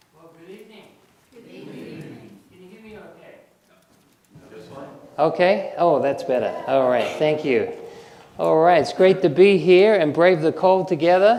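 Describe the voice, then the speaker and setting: A man's high-pitched voice with an American accent, ordinary pitch variation, long, frequent pauses and audible room echo. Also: moderate pace, big swings in loudness. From Australia. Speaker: naturopath and herbalist presenter. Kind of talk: health lecture.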